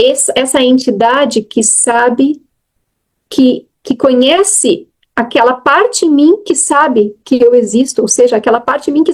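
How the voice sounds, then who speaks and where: A woman's high-pitched voice, lively intonation, moderate pace. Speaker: spiritual teacher, nun. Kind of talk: dharma talk after group meditation. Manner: halting, many self-corrections; casual, conversational.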